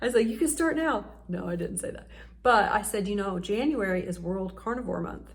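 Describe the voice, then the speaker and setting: A woman of medium pitch speaks at a moderate pace with vocal fry. Audible room echo surrounds her voice. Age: 40s. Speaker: YouTuber. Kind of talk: casual vlog talk to camera.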